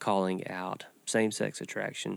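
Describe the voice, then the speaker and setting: In a very clean recording with a silent background, a man speaks at a fairly low pitch with fairly even intonation and a plain, everyday voice. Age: 40s. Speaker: church podcast host, pastor. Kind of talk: casual discussion. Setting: studio.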